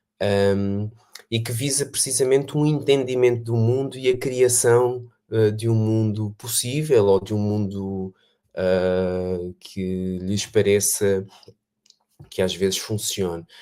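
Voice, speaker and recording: With a European Portuguese accent, a man speaks at a very slow pace, his fairly low voice dark and mellow in tone, with ordinary pitch variation. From Portugal. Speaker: education researcher. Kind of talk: online panel talk. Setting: video call livestream. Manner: hesitant, many fillers.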